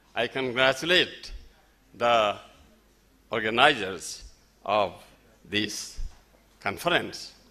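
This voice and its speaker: A man speaks very slowly with a Nepali accent, his medium-pitched voice bright and sharp in tone. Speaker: festival speaker. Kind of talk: speech. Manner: halting.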